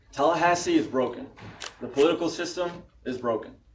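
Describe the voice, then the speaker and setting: A man with an American accent at a fairly quick pace, in audible room echo. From Florida (Tampa area). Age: 20s. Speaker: political candidate. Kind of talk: campaign speech. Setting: candidates forum with audience.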